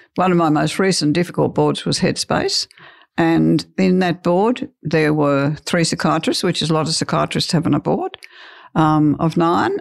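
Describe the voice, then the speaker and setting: The recording of a woman with an Australian accent has a dry, close sound with no echo. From rural Australia. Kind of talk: interview.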